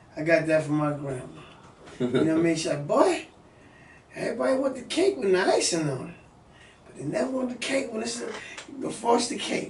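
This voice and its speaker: A man's high-pitched voice with very wide pitch swings and long, frequent pauses, plus audible room echo and noticeable background noise. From New York City (Bronx, Harlem). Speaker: music industry executive. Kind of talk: casual interview. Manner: casual, repetitive fillers.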